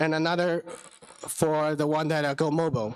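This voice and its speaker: A man with a Chinese accent speaks at a fairly slow pace in a high voice. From China. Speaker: business founder and ham radio operator. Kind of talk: conference talk. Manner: halting.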